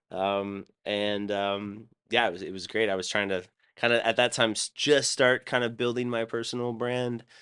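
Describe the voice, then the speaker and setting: With an American accent, a man talks at a moderate pace in a medium pitch and fairly even intonation. His tone is bright and sharp, and the background is quiet. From US Midwest (Columbus, Ohio); high school in South Carolina. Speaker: DJ, producer and former pro tennis player. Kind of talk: casual podcast interview. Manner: loud; hesitant, many fillers and restarts.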